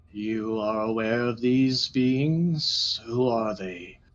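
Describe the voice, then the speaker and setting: A man puts on a character voice, pitched medium and delivered at a very slow pace. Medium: actual play. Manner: formal, grave.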